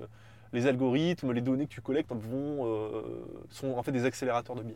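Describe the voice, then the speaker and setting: A man with a Parisian accent and ordinary pitch variation. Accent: pronounced Parisian. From Paris, Montparnasse. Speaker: political science researcher. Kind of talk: casual interview chat. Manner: hesitant, many repetitions and fillers.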